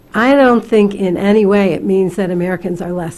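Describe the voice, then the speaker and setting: Noticeable background noise surrounds a woman talking at a moderate pace. Her medium-pitched voice keeps fairly even intonation. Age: 60s. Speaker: community college president. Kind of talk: hearing testimony.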